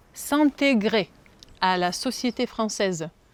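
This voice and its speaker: Her voice sits fairly high for a woman, with lively intonation. The sound is dry and close, with no echo. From Ukraine. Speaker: French language teacher. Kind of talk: classroom teaching.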